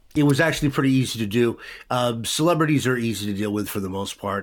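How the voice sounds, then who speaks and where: An unremarkable speaking voice from a man, medium in pitch with ordinary variation, at a fairly quick pace on a very clean recording with a silent background. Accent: American. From Vancouver, Washington (US Pacific Northwest). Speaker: radio DJ. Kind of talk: casual interview.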